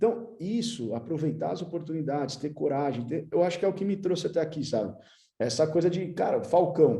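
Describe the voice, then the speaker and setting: A man's fairly high voice, dark and mellow in tone, with lively intonation at a fairly quick pace, plus audible room echo. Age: 30s. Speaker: futsal club manager, former player. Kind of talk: conference talk. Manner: casual, slangy.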